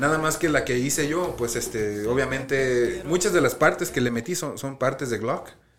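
Speech with ordinary pitch variation and hardly any pauses carries audible room echo and noticeable background noise. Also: man, fairly high pitch for a man, moderate pace. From US, Colorado. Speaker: podcast co-host. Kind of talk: casual chat. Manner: halting.

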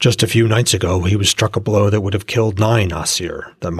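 A natural reading voice with fairly even intonation

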